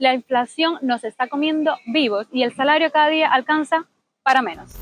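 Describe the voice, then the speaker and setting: A woman's high voice shows ordinary pitch variation as she talks at a moderate pace. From Cuba. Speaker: vlogger, engineer. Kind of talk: vlog street video. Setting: outdoors at a market.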